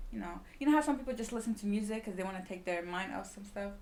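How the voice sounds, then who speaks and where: A woman at medium pitch talks at a very fast pace. Audible room echo and noticeable background noise surround her. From Sweden. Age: 20s. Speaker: small business owner. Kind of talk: casual chat.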